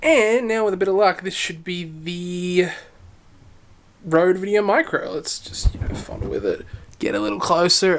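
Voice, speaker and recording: An American accent at a moderate pace. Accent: sounds American. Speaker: tech youtuber. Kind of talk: product review vlog. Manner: casual, filler-heavy. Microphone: testing built-in camera mic vs external mic.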